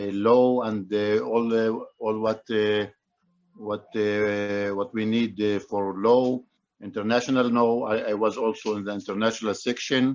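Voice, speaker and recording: A man speaks in a fairly low voice at a fairly slow pace, his intonation monotone and flat. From Israel. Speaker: lawyer. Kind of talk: business networking pitch. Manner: halting, many fillers.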